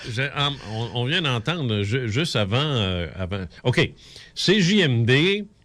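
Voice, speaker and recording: In a Quebec accent, a man speaks at a very slow pace with very wide pitch swings, on a very clean recording with a silent background. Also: medium pitch for a man. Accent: Québécois French. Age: 60s. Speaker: radio host. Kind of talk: casual chat. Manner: halting.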